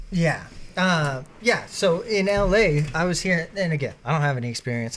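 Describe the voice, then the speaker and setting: A man speaks in a somewhat breathy voice. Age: 20s. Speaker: podcast host.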